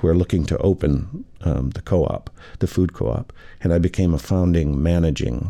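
A man's very deep, low voice, dark and mellow in tone, with vocal fry. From Michigan. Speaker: restaurateur and scholar. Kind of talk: casual chat. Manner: halting.

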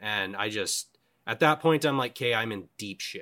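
On a very clean recording with a silent background, a man with a western Canadian accent speaks at a moderate pace in a bright, sharp tone, his pitch varying in an ordinary way. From western Canada (British Columbia, Cranbrook). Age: 20s. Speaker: wilderness survivor. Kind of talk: casual interview storytelling.

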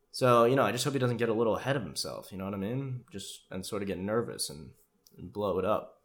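Delivered at a very fast pace, the voice shows vocal fry, big swings in loudness and ordinary pitch variation. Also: man, medium pitch for a man. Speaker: podcast host. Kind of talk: casual comedic rant about a TV show. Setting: solo monologue. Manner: informal, profane, joking.

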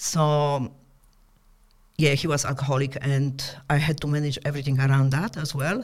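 A woman's very deep, low pitch with fairly even intonation, at a moderate pace with long, frequent pauses. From Poland. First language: Polish. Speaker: entrepreneur. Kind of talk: casual interview chat. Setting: studio.

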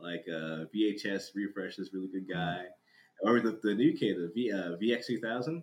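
A man with an American accent has an unremarkable speaking voice and a fairly low pitch. He speaks at a fairly slow pace with ordinary pitch variation. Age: 30s. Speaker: drift community content creator. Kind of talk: casual chat.

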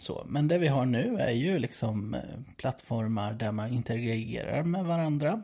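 An unremarkable speaking voice from a man, medium in pitch, at a moderate pace with lively intonation. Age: 30s. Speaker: priest, podcast co-host. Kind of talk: casual chat.

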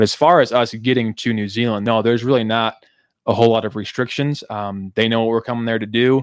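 On a very clean recording with a silent background, a man speaks at medium pitch in a monotone, flat way, with a dry, close sound and no echo. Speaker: missionary. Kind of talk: casual interview.

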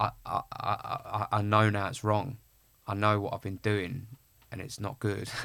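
His tone is bright and sharp, and the man delivers everything in a monotone, flat intonation. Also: fairly low pitch for a man, fairly slow pace. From Essex, England (Clacton-on-Sea). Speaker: actor. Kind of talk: casual interview.

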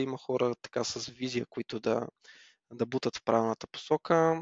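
A man with an ordinary speaking voice, medium in pitch, at a moderate pace. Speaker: motorsport commentator. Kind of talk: casual chat.

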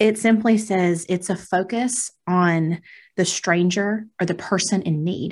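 A woman speaks at a medium pitch. Her voice is somewhat breathy. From rural US. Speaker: podcast co-host. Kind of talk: casual chat. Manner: laughs often.

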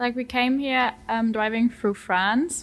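A woman's fairly high voice with a German accent, fairly even intonation and a fairly slow pace. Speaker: exchange student. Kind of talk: casual chat interview.

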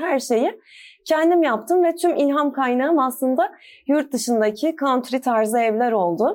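On a very clean recording with a silent background, a woman speaks at a high pitch with lively intonation. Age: 20s. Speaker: DIY home decor blogger and teacher. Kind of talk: casual interview.

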